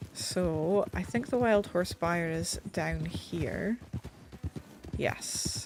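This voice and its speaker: A woman with a British accent speaks at a very slow pace amid noticeable background noise. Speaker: game streamer. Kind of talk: casual gameplay commentary. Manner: uneven volume, sometimes mumbling; audible breathing. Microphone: mic further away, may be quiet.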